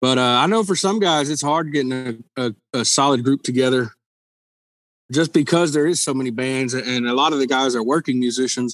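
A man with a Southern Texas accent at a fairly quick pace. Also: medium pitch for a man, ordinary pitch variation. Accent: Southern Texan. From Texas Gulf Coast. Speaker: musician. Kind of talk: casual interview chat.

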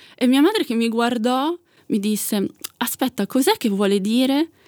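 A woman's high-pitched voice with lively intonation, at a moderate pace, in a dry, close sound with no echo. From Italy, Milan. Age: 30s. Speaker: asexual activist. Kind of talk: interview.

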